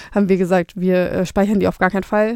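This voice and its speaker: A woman's voice carries a dark, mellow tone and monotone, flat intonation. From Flensburg, northern Germany. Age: 20s. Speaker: startup co-founder. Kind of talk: interview.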